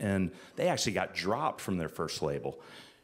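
A man is speaking. His voice has vocal fry. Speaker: music industry executive. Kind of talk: casual interview on stage. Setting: live event with students.

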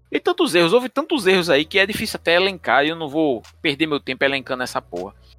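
A man's high voice at a very fast pace, hardly any pauses and lively intonation, dry and close with no echo, music in the background. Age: 40s. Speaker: football podcast host. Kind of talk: casual chat.

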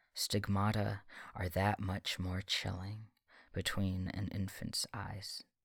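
This man's pitch sits fairly low and his intonation is monotone and flat. He speaks at a very slow pace. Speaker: podcast host and poet. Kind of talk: poem performed aloud, impassioned spoken-word prayer of lament and defiance. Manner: solemn, earnest, building from mournful hush to fervent, ringing vows; measured, cadenced, rhythmic delivery with emphatic stresses.

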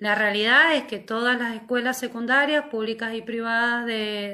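The woman's voice has a bright, sharp tone. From Mendoza, Argentina. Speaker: secondary school teacher. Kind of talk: live stream chat. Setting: video call livestream.

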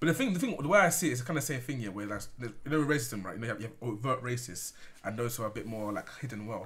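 At a very fast pace, a man speaks with lively intonation and a medium pitch. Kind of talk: casual banter among friends. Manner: joking, banter-heavy.

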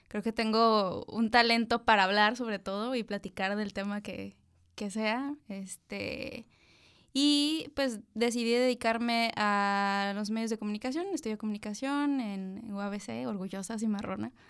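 A woman speaks at a fairly slow pace in a fairly high voice. Her pitch varies in an ordinary way, in a very clean recording with a silent background. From Tijuana, Mexico. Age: 30s. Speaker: journalist. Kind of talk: casual chat.

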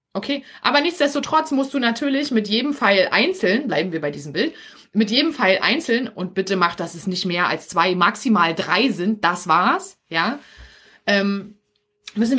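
Her tone bright and sharp, a woman with a Berlin accent speaks at a medium pitch and a moderate pace, her pitch swinging very widely. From Berlin area, Germany. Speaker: podcast host and business coach for mothers. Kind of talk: live stream coaching talk. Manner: casual with many filler sounds.

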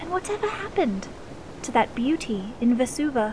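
Over noticeable background noise, a woman speaks in a high voice with very wide pitch swings. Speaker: poet narrator. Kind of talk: spoken-word poetry, rhyming verse. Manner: rhythmic, sing-song, theatrical; animated storyteller, inviting tone.

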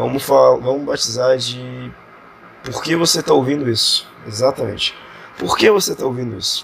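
This man talks at a moderate pace. There is noticeable background noise behind him. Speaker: podcaster. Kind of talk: casual monologue.

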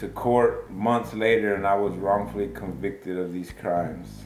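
A man talks at a moderate pace in a fairly low voice with an American accent. Noticeable background noise and audible room echo fill the recording. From Texas, Baytown. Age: 40s. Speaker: wrongful conviction exoneree. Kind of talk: interview testimony.

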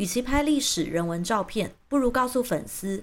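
Her pitch swings very widely as this woman talks. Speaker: YouTube commentator. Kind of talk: scripted monologue.

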